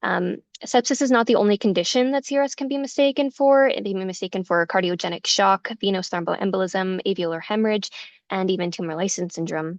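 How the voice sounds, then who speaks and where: Her pace is very fast, and her intonation is lively. The woman's pitch sits in the medium range. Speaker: nurse presenter. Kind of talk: lecture.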